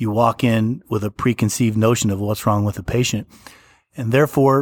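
Fairly low in pitch with ordinary pitch variation, a man talks fairly quickly in a normal speaking voice, the sound dry and close with no echo on a very clean recording with a silent background. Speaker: hospital physician. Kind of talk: interview testimony.

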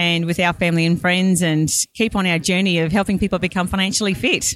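Fairly quick speech from a woman at medium pitch, on a very clean recording with a silent background. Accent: Australian. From Australia, Brisbane. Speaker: financial planner. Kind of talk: casual interview. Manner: animated.

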